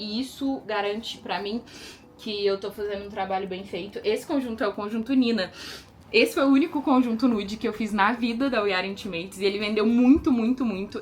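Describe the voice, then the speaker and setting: Over noticeable background noise, a woman speaks in a fairly high pitch with ordinary pitch variation. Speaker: lingerie designer and brand owner. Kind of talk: casual vlog. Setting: at home in closet. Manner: fast; animated.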